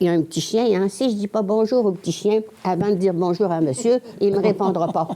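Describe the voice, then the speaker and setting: At a moderate pace, a woman speaks with a dark, mellow tone and ordinary pitch variation. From Quebec, Lac-Saint-Jean. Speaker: nun, former teacher. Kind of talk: testimony. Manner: halting.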